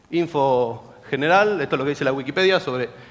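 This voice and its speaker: Speaking at a fairly quick pace is a man. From Argentina, General Pico, La Pampa; La Pampa, Argentina. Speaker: security researcher; presenter. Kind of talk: conference talk. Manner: fast. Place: hall.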